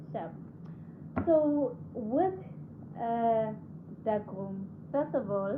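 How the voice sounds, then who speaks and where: Speaking very slowly with long, frequent pauses, a woman with a fairly high voice swings her pitch very widely, and the room echo is audible. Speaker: radiographer and video host. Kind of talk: casual vlog talk. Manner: conversational, hesitant with fillers.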